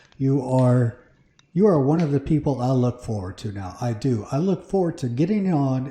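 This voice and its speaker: At a fairly slow pace, a man speaks in a somewhat breathy voice with a dark, mellow tone and medium pitch. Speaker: Minecraft livestreamer. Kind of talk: casual livestream chat. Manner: conversational, hesitant with fillers. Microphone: mic moved close to mouth; echo in recording.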